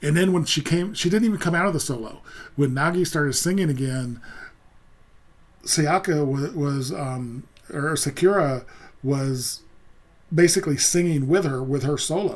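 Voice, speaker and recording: A man mumbles at a moderate pace with long, frequent pauses. His pitch is fairly high, with ordinary pitch variation. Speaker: music reaction youtuber. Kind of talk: casual commentary. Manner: halting, many fillers; mumbling.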